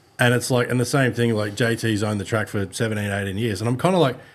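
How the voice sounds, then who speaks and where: A man with a medium-pitched voice speaks against noticeable background noise. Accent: Australian. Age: 40s. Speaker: podcast host. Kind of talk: casual chat.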